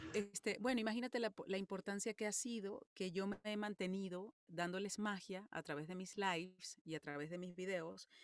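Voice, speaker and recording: A woman's medium-pitched voice at a moderate pace, with hardly any pauses, ordinary pitch variation and a dry, close sound with no echo. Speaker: voice actress and singer. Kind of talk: interview.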